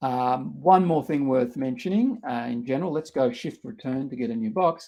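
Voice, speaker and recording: A man with an Australian accent talks at a moderate pace, his pitch swinging very widely. The recording is very clean, with a silent background. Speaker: researcher and workshop instructor. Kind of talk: tutorial. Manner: halting, many fillers.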